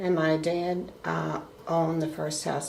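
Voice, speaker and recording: With a New York accent, a woman speaks at a fairly low pitch and fairly even intonation, amid noticeable background noise and audible room echo. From US Northeast, Brooklyn, New York. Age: 70s. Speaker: grandmother being interviewed. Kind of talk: family interview.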